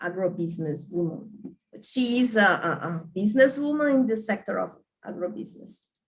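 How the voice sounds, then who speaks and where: A woman's somewhat breathy voice at a medium pitch moves quickly, with very wide pitch swings. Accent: Portuguese. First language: Portuguese. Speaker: journalist. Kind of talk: panel talk. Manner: halting.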